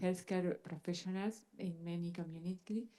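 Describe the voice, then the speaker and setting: A woman speaks in a Spanish accent at a moderate pace. Her voice is medium in pitch and dark and mellow in tone. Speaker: pharmacist. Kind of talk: panel discussion.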